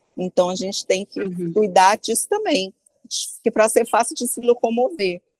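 A woman speaks in a normal speaking voice at a fairly high pitch and moderate pace, with ordinary pitch variation. The sound is dry and close, with no echo. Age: 50s. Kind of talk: interview. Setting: remote call from abroad.

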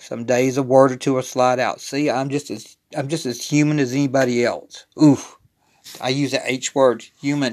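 A man speaks at a moderate pace and medium pitch. His intonation is monotone and flat. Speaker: podcaster. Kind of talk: casual solo monologue. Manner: informal, halting, with repeated words.

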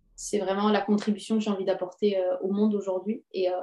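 A woman with a medium pitch and a dark, mellow tone speaks at a moderate pace with monotone, flat intonation. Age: 20s. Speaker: parenting coach. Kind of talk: interview conversation.

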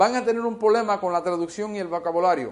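In a quiet background, a man's speech shows ordinary pitch variation. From United States. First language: English (speaking Spanish). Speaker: bible teacher. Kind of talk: bible teaching. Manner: halting, many fillers and repeats.

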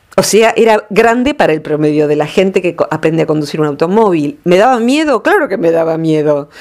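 A woman talks with hardly any pauses and lively intonation. Her pitch is fairly low. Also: fairly quick pace. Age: 50s. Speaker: radio columnist. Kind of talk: radio talk segment.

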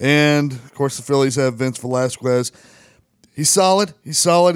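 In a very clean recording with a silent background, a man speaks at a fairly quick pace in an ordinary speaking voice. His fairly high pitch shows ordinary pitch variation, and the sound is dry and close with no echo. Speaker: co-host sports bettor. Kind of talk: casual banter, betting picks. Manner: analytical, stats-focused.

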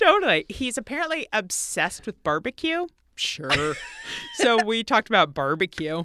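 Recorded with a dry, close sound and no echo, a woman with an American accent has a bright, sharp tone, very wide pitch swings and vocal fry. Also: fairly high pitch for a woman, moderate pace. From Tennessee, US South. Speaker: podcast co-host. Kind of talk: casual chat. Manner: animated.

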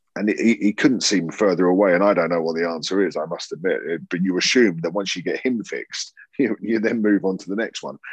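A man with a Southern English accent speaks at a fairly quick pace, his fairly low pitch rising and falling in an ordinary way. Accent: Southern English, living in Yorkshire. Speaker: podcast co-host. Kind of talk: casual chat. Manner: joking, swears casually.

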